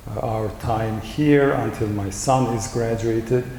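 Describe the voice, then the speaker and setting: A man's voice at a medium pitch, with audible room echo and noticeable background noise. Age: 60s. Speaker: professor and rowing coach. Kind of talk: panel discussion.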